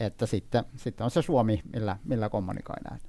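At a fairly slow pace, a man speaks with a dark, mellow tone and ordinary pitch variation. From Iraqi Kurdistan. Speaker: dictionary editor. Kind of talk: interview. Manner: halting, many fillers and repetitions.

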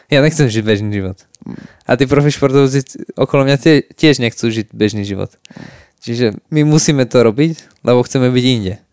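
A normal speaking voice from a man at medium pitch, with ordinary pitch variation, moderate pace, and a dry, close sound with no echo. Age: 20s. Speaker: professional MMA fighter. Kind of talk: casual chat.

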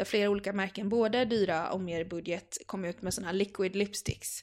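A normal speaking voice from a woman, medium in pitch, at a fairly quick pace with ordinary pitch variation. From Gothenburg, Sweden. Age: 20s. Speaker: style blogger and teacher. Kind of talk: casual interview.

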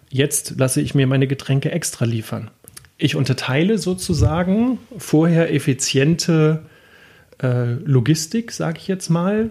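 His dark, mellow tone sits at a fairly high pitch for a man as he speaks at a fairly slow pace. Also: lively intonation. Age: 40s. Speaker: logistics entrepreneur. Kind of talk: interview. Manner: hesitant, many filler sounds.

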